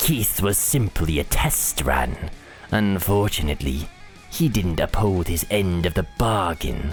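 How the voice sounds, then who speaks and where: A put-on character voice moves at a fairly slow pace. Clear music plays in the background. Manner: smug, theatrical.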